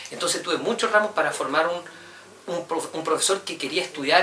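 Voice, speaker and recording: Amid noticeable background noise, a man with a Chilean accent speaks at a fairly quick pace and a high pitch, with ordinary pitch variation and big swings in loudness. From Chile, Santiago. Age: 30s. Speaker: university professor. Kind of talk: interview. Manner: hesitant, with repetitions.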